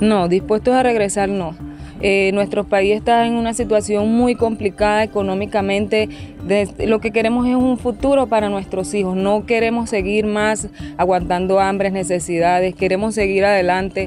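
Clear music plays behind a dry, echo-free voice that keeps fairly even intonation, very even loudness and a moderate pace. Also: woman. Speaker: interviewee. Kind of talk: interview answer. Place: train. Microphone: handheld.

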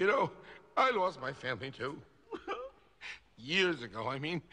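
A man performs a cartoonish character voice at a fairly high pitch. The tone is bright and sharp, with big pitch swings and a fairly slow pace.

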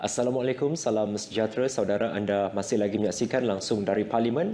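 A man of medium pitch with a Malaysian accent and fairly even intonation. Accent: Malaysian Malay. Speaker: TV news presenter. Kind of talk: live broadcast presenting. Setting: studio. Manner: formal. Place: studio. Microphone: lapel.

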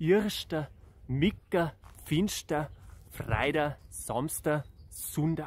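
The man speaks with lively intonation. The sound is dry with no echo, with light background noise. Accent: Bavarian. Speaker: singer-songwriter. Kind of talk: casual talk to camera. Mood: cheerful, friendly. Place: open country. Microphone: phone near.

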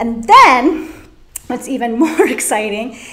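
A woman with an American accent speaks at a fairly slow pace and fairly high pitch with ordinary pitch variation, amid noticeable background noise and audible room echo. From Orange County, California. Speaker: floral design teacher. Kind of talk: live tutorial. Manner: animated.

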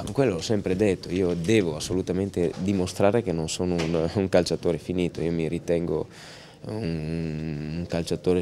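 With a very deep, low pitch and a dark, mellow tone, a man talks at a fairly quick pace in fairly even intonation over light background noise. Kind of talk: interview answer. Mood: happy but calm, subdued. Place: stadium. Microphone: handheld.

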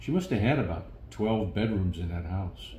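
With an American accent, a man speaks in a fairly low, somewhat breathy voice of dark, mellow tone, with audible room echo and light background noise. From St. Louis, Missouri. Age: 70s. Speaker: war veteran. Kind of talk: interview answer. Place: home room.

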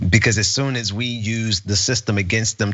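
A man speaks at a moderate pace with a Southern US accent. His pitch is fairly low. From US South. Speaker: co-host, political commentator. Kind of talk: political news commentary.

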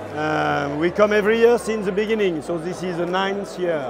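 Over noticeable background noise, a man with a high pitch speaks at a moderate pace with fairly even intonation in a dry sound with no echo. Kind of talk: interview answer. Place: hall.

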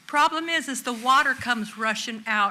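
A woman speaks at a fairly slow pace in a raised, projected voice. Her pitch is high and her intonation lively. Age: 70s. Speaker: resident speaking at public comment. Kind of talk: public comment at city council meeting.

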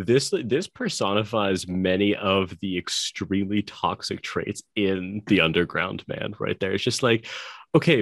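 Against a quiet background, a man with a fairly low pitch speaks in a dry sound with no echo. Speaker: podcast co-host. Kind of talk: casual discussion. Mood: amused, laughing. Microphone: video call.

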